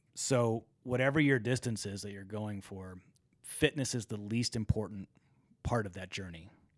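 In an unremarkable speaking voice, a man talks at a moderate pace with fairly low pitch and ordinary pitch variation. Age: 40s. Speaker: ultra runner and entrepreneur. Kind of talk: casual interview.

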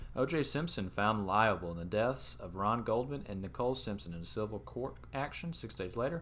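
A man with an unremarkable speaking voice talks at a fairly quick pace with lively intonation and hardly any pauses. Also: medium pitch for a man. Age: 20s. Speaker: sports podcast co-host. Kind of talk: casual chat.

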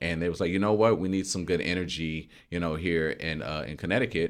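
Very clean recording, silent background: a man speaks at a fairly quick pace with a very deep, low pitch and vocal fry. His pitch varies in an ordinary way. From Louisiana, US South. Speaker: school district social emotional learning coordinator. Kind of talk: casual interview. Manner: animated.

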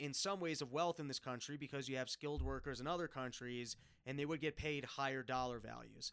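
This man has a plain, everyday voice with a fairly high pitch. He speaks with an American accent and fairly even intonation. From New York City. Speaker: comedian. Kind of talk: casual chat.

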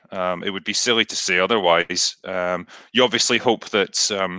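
A bright, sharp tone in a Scottish accent comes at a moderate pace with monotone, flat intonation. The sound is dry and close with no echo over a quiet background. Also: man. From Scotland. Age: 30s. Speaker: author and YouTuber. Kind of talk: casual interview.

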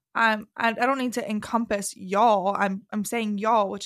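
A woman at medium pitch and a moderate pace, with a Southern US accent, on a very clean recording with a silent background. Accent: Southern US, sing-songy. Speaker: podcast host, real estate agent. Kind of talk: casual chat.

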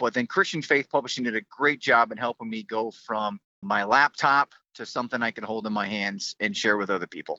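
At a fairly quick pace, a man with a plain, everyday voice talks at medium pitch with lively intonation. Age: 50s. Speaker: author, military service member. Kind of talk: interview.

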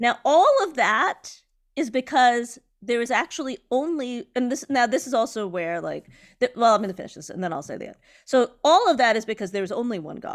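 On a very clean recording with a silent background, a woman speaks fairly quickly in an animated tone and a high pitch, with very wide pitch swings and big swings in loudness. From Indian diaspora, not from India. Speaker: podcast co-host, art commentator. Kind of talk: casual chat.

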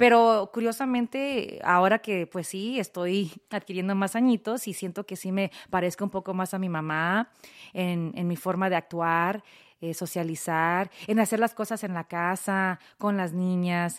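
A woman's medium-pitched voice at a fairly slow pace, ordinary pitch variation, dry and close with no echo, in a very clean recording over a silent background. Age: 40s. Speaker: podcast host and radio personality. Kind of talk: casual chat.

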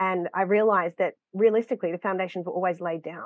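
A woman with an Australian accent speaks at a medium pitch with fairly even intonation. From Queensland, Australia. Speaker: dance studio owner and acro teacher. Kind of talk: interview.

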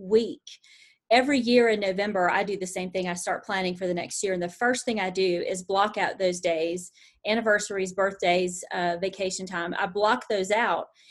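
With a normal speaking voice, a woman talks at a moderate pace in a medium pitch with fairly even intonation against a quiet background. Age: 50s. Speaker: podcast co-host. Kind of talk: casual interview.

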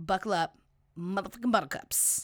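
An animated woman's voice with lively intonation and a bright, sharp tone, on a very clean recording with a silent background. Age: 30s. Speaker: podcast host. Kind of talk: casual chat.

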